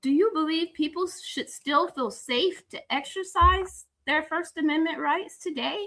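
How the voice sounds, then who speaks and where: Raised and projected, a woman's extremely high-pitched voice has a bright, sharp tone and ordinary pitch variation, moving at a fairly slow pace with hardly any pauses. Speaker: talk show host. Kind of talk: live interview. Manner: loud.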